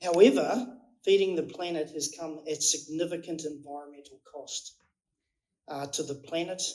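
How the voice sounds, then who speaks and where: With a New Zealand accent, a man speaks at a moderate pace in a fairly high pitch with ordinary pitch variation. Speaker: company executive. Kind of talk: speech. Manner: halting.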